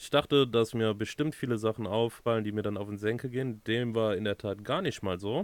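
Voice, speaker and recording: A man talks at a moderate pace and a fairly low pitch. He has a plain, everyday voice. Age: 30s. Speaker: podcast co-host, van converter. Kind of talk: casual chat.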